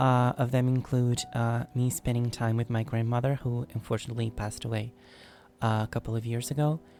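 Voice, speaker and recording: A man talks at a fairly quick pace in a flat monotone. Music plays in the background. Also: medium pitch for a man. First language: not English. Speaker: YouTube singer answering fan questions. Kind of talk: casual Q&A monologue. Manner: halting, with frequent fillers.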